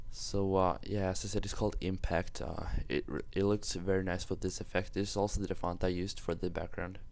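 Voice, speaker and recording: A man with a non-native accent talks at a fairly quick pace with hardly any pauses, his voice carrying audible room echo. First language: not English. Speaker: graphics tutorial youtuber. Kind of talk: tutorial. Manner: halting, many fillers.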